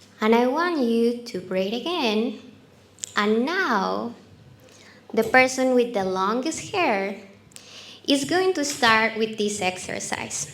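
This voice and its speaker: A woman in a Colombian accent at a very slow pace, fairly high in pitch, with lively intonation and audible room echo. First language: Spanish. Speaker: marketing speaker. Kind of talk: talk to a live audience with a guided exercise.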